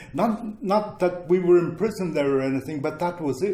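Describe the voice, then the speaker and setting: Noticeable background noise sits behind a man with a Ukrainian accent whose pitch varies in an ordinary way. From Ukraine, childhood in Germany. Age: 70s. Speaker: former displaced person, interviewee. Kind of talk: interview, personal recollection. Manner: halting, many fillers.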